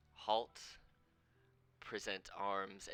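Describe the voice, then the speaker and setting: A man puts on a booming character voice. His pitch sits fairly low. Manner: commanding, barking an order.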